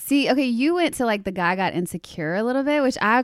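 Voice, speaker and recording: Lively intonation comes through at a very fast pace in a Southern US accent. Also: woman. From US South, Louisiana. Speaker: celebrity stylist. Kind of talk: casual chat. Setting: studio.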